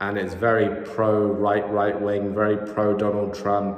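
A man with a fairly low pitch speaks at a fairly slow pace. Audible room echo is present. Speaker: sports commentator vlogger. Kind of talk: commentary. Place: home room. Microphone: phone near.

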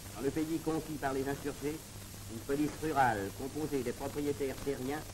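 With a solemn tone and a fairly high pitch, a man speaks at a moderate pace against noticeable background noise. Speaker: documentary narrator. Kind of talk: 1930s newsreel narration. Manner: formal, solemn, declamatory; brisk, even and authoritative. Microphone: old recording.

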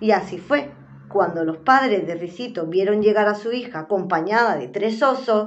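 What we hear is a natural reading voice.

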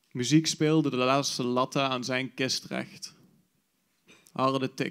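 A man's monotone, flat delivery at a very slow pace over a quiet background. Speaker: slam poet. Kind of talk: poetry slam performance, spoken word. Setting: stage with audience. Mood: wistful, nostalgic. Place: stage. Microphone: handheld.

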